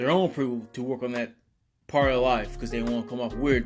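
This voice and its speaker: A man is speaking. Music plays in the background. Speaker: fitness consultant. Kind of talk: motivational talk.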